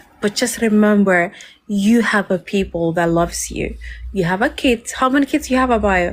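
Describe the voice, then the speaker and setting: At a moderate pace, a woman speaks in a Somali accent. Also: very even loudness. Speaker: live stream host. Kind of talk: casual chat.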